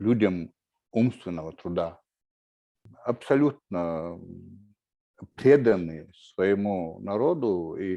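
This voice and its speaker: A man's fairly low voice, dark and mellow in tone, at a very slow pace with long, frequent pauses. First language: Chechen (speaking Russian). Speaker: writer and war veteran. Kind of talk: panel talk. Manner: halting, many fillers.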